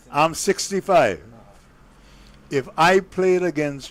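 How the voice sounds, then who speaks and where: A man speaks with an Antiguan accent. His pace is very slow. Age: 60s. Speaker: cricket co-commentator, former player. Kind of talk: casual chat. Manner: animated.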